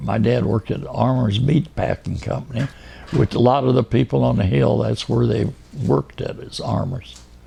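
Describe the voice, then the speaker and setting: A man talks at a moderate speed, with noticeable background noise in the recording. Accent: US Midwestern. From Kansas City, Kansas. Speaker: oral history interviewee. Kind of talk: oral history interview. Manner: halting.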